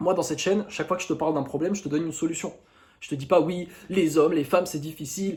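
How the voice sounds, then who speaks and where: A man talks at a very fast pace. His pitch is high. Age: 20s. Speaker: YouTuber, dating coach. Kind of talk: casual monologue to camera. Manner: animated.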